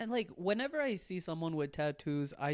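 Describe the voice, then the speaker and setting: A man speaks with a non-native accent at a moderate pace. His pitch variation is ordinary, and the background is quiet. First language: not English. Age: 20s. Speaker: comedian. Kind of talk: casual chat.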